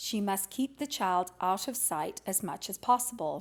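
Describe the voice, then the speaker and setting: A woman with an unremarkable speaking voice, medium pitch, and lively intonation talks at a moderate pace in a very clean recording with a silent background. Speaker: audiobook reader. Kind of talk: audiobook reading of a classic children's novel.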